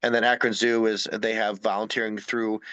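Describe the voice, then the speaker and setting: A man speaks at a very fast pace in a bright, sharp tone. The background is quiet. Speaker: wildlife conservation educator. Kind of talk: presentation. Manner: halting.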